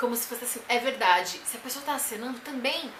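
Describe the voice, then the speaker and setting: A woman speaks at a high pitch. Noticeable background noise and audible room echo fill the recording. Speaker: vlogger and teacher. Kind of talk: tutorial. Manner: loud.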